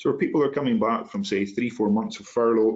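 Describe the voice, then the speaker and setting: With an Inverness accent, a man talks at a medium pitch with ordinary pitch variation. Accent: Inverness Scottish. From Scotland, Inverness. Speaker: human factors specialist. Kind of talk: panel discussion answer.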